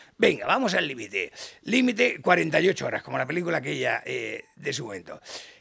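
Over noticeable background noise, a man talks in an animated tone at a moderate pace. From Catalonia, Badalona. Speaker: business founder and CEO. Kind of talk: interview.

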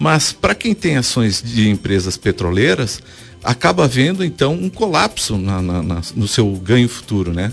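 Lively intonation marks a man's fairly low voice, which moves at a fairly slow pace. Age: 50s. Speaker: economist. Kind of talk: radio interview. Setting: studio. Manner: halting.

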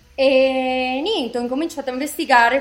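Speech comes at a fairly quick pace against noticeable background noise. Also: woman. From Italy, moved to Colombia around age seven. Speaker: designer and fashion brand founder. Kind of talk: interview. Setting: remote call.

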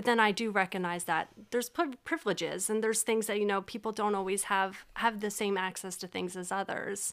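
In a normal speaking voice with an American accent, a woman speaks at a fairly quick pace with hardly any pauses, her medium pitch showing ordinary variation, on a very clean recording with a silent background. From Pennsylvania, Berks County (Reading). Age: 30s. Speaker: model and social service worker. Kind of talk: casual chat.

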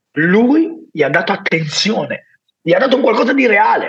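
A man is talking. His pace is moderate. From Naples, southern Italy. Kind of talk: casual interview, personal testimony.

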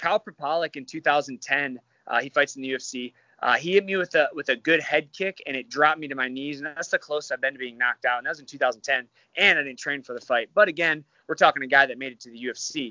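Here a man with an American accent talks at a fairly quick pace and fairly high pitch. His pitch varies in an ordinary way, with big swings in loudness. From Michigan. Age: 30s. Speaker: MMA fighter. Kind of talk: casual chat.

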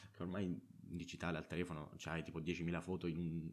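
The man's voice sits at a very deep, low pitch. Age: 20s. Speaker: podcaster. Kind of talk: casual monologue. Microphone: own good microphone.

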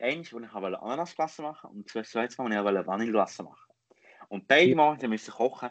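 A man with a Lucerne accent, medium in pitch, with ordinary pitch variation and a dry, close sound with no echo. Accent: Lucerne hinterland Swiss German dialect. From Switzerland, Lucerne hinterland. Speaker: podcast host. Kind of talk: casual chat.

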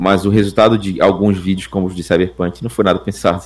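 A man talks fairly quickly in a plain, everyday voice. His pitch is fairly low, and the recording is very clean with a silent background. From northern Brazil. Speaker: youtuber and musician. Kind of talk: casual chat.

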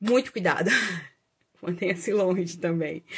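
At a medium pitch, a woman talks, her pitch varying in an ordinary way. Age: 30s. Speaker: astrologer and holistic therapist, video creator. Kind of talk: casual vlog monologue. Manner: hesitant, many fillers.

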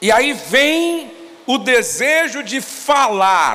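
A man with an extremely high pitch speaks at a very slow pace in a raised, projected voice, his intonation lively. Audible room echo and noticeable background noise fill the recording. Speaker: pastor. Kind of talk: sermon.

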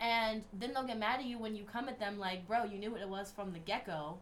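Over noticeable background noise and audible room echo, a woman speaks in an animated tone at a fairly high pitch with ordinary pitch variation. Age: 20s. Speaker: podcast co-host. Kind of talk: casual chat.

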